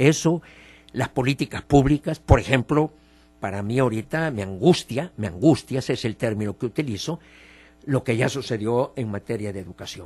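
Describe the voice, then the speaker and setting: A somewhat breathy man's voice of medium pitch, lively in intonation, at a moderate pace. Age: 70s. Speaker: politician and political commentator. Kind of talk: radio opinion interview.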